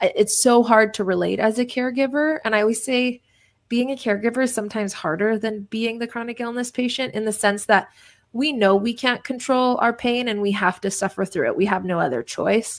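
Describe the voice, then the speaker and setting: A woman with a fairly high pitch talks at a fairly quick pace in an animated tone with ordinary pitch variation, in a very clean recording with a silent background. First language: Polish. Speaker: entrepreneur and author. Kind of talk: podcast interview.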